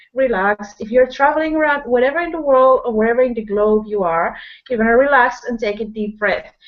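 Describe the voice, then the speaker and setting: A woman speaks with a Spanish accent and a high pitch. Her pitch varies in an ordinary way. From Peru. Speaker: online business person, guest speaker. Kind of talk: motivational talk. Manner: energetic, slightly flustered.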